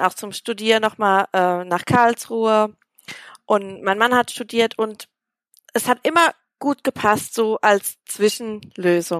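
With a plain, everyday voice, a woman talks at a fairly slow pace and fairly high pitch with ordinary pitch variation, in a very clean, dry, close recording with no echo and a silent background. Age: 30s. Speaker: primary school teacher. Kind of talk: interview.

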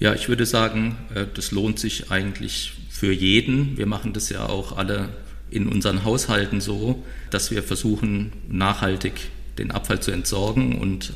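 Audible room echo hangs around speech delivered at a moderate pace. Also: man. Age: 50s. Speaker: recycling company founder. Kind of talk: podcast interview.

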